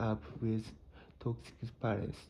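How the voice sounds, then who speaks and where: A man with a Japanese accent speaks very slowly at a medium pitch, his dark, mellow tone somewhat breathy and his pitch varying in an ordinary way. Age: 30s. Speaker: psychology explainer. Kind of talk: educational talk.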